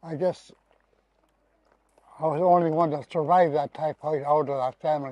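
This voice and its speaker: A man talks with monotone, flat intonation at a fairly high pitch, his tone dark and mellow. The sound is dry and close with no echo, at a moderate pace with long, frequent pauses. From Canadian Arctic, western Inuit coast. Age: 80s+. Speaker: elder. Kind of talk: interview.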